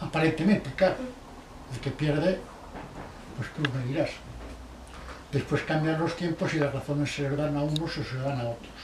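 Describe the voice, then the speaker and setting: Amid noticeable background noise and audible room echo, a man at a fairly high pitch keeps a moderate pace with fairly even intonation. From Basque Country, Spain (Barakaldo/Bilbao). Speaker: interviewee recalling the Spanish Civil War. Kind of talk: oral history interview. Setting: at his home.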